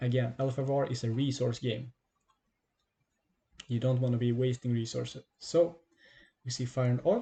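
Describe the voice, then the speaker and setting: A man of medium pitch speaks in a dark, mellow tone that is somewhat breathy. His intonation is fairly even, broken by long, frequent pauses. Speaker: card game streamer and tutor. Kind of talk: gameplay tutorial. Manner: fast.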